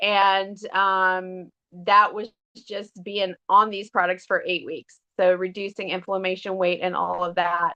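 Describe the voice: A woman talks at a fairly slow pace. Her tone is bright and sharp, yet clear and smooth.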